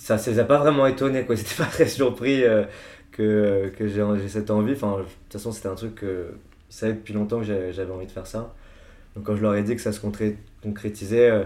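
Big swings in loudness mark this man's unremarkable speaking voice, which has a fairly low pitch, fairly even intonation and a moderate pace. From France, Paris. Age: 20s. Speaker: music artist manager. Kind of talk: casual chat.

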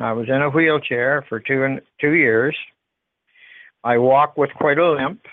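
A man with an Ontario accent speaks at a fairly high pitch and a fairly slow pace. Long, frequent pauses break up his speech. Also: fairly even intonation. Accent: Ontario Canadian. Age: 70s. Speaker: appliance store owner. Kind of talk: phone conversation. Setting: phone call. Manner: halting.

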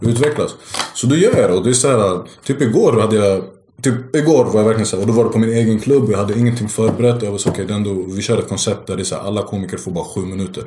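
A man talks at a very fast pace, his pitch medium with ordinary variation. Audible room echo and noticeable background noise surround his voice. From Sweden. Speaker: stand-up comedian. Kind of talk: casual chat.

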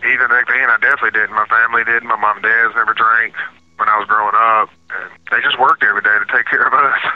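A man talks at a very fast pace with a Southern US accent. Noticeable background noise is present. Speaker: prisoner. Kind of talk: interview.

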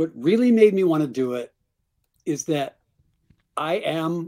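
The background is silent and the recording very clean. The speaker is a man. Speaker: musician and memoirist. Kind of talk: interview. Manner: halting, self-correcting.

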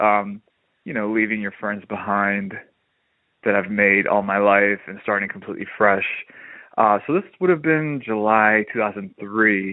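A man's ordinary speaking voice, fairly low in pitch, fairly slow and fairly even in intonation. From New Jersey. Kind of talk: voicemail message.

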